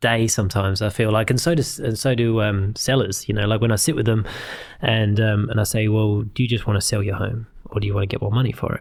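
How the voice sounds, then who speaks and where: Speaking very fast, a man keeps a fairly low pitch and fairly even intonation. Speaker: podcast host, real estate agent. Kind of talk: podcast host interview.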